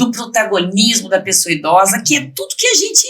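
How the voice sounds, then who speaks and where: With noticeable noise behind her, a woman talks in a medium pitch. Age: 60s. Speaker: president of municipal council for the elderly. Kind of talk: podcast interview.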